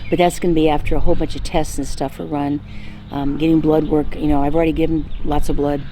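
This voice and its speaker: A woman with a very deep, low pitch speaks with fairly even intonation. Noticeable background noise and audible room echo are present. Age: 60s. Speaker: lifestyle vlogger. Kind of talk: casual health update vlog. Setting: outdoors. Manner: halting, many fillers.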